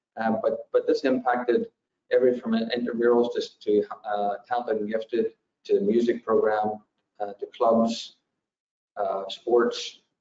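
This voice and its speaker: Audible room echo and light background noise surround a man who speaks at a fairly slow pace with long, frequent pauses. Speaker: school superintendent. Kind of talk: budget presentation at public meeting. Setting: video call. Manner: halting. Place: home room. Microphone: video call.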